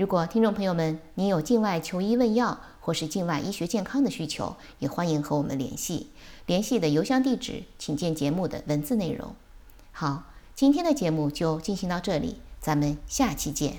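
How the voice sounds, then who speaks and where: Lively intonation over a dark, mellow tone. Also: woman, fairly low pitch for a woman, moderate pace. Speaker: podcast host and physician. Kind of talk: scripted outro; interview.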